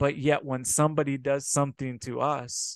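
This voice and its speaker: A man speaks at a fairly slow pace in a flat monotone. The background is quiet, and the sound is dry with no echo. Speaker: preacher. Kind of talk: sermon. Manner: earnest, exhorting, repeatedly addressing listeners as brothers and sisters; warm and pastoral. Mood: earnest, exhorting. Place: home room. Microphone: webcam.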